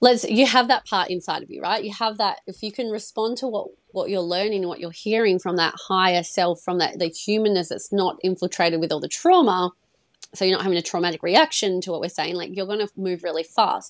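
A woman with a Western Australian accent, medium pitch and a fairly quick pace. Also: ordinary pitch variation. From Perth, Australia. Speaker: money coach. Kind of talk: casual interview chat. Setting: video call.

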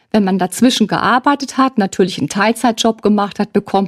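This woman has an unremarkable speaking voice. Her pitch is medium, with ordinary pitch variation. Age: 60s. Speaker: family counselor and social worker. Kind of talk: expert interview.

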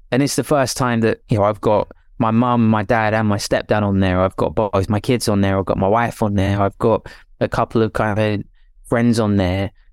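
A man with a British accent speaks at a moderate pace and a fairly low pitch, his loudness very even. The sound is dry and close with no echo, on a very clean recording with a silent background. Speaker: musician and producer. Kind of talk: casual interview.

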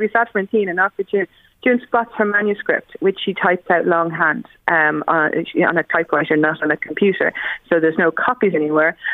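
The speaker uses lively intonation at a moderate pace, in an Irish accent. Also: woman. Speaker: bookseller. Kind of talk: book recommendations on radio.

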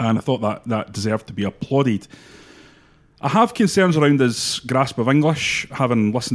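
A fairly quick man's voice at medium pitch, an unremarkable speaking voice, very clean recording with a silent background. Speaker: football pundit. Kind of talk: sports podcast discussion.

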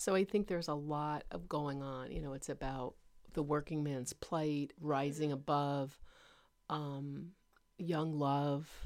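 This woman's voice sits very deep and low, with fairly even intonation, on a very clean recording with a silent background. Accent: New Jersey. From northern New Jersey. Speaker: guest, host's mother. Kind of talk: casual chat.

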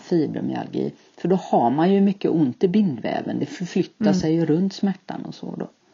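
Speaking at a fairly low pitch with vocal fry, a woman uses lively intonation. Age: 60s. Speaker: podcast guest, retiree with IBS. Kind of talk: interview.

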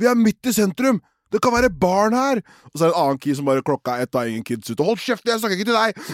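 A man's high-pitched, animated voice at a very fast pace, with very wide pitch swings, on a very clean, dry, close recording with no echo and a silent background. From Oslo, Norway. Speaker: podcast co-host. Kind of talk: casual chat.

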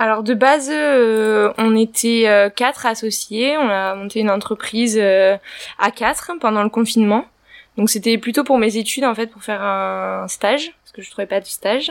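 A woman has an unremarkable speaking voice, fairly high in pitch with ordinary pitch variation. She talks at a moderate pace with big swings in loudness. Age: 20s. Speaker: young business owner. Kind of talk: casual interview.

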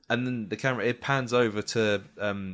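A man's medium-pitched voice with a British accent, bright, sharp tone and lively intonation, in a very clean recording with a silent background. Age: 30s. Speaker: podcast host. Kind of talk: casual chat.

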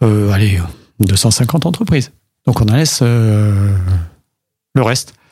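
This man's voice sits fairly low in pitch and sounds somewhat breathy, with ordinary pitch variation. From Paris. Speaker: mayor. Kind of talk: radio interview.

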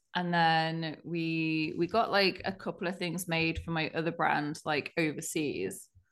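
A woman with a British accent speaks at a fairly slow pace in a monotone, flat intonation. The background is quiet. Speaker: clothing brand co-founder. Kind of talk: casual interview chat. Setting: video call.

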